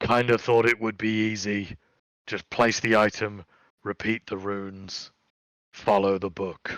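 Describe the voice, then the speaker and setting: Using a put-on character voice, a man speaks fairly slowly at a fairly low pitch, strained and weary in tone, with monotone, flat intonation. Long, frequent pauses break it up against a quiet background. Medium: actual play. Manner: blunt, weary.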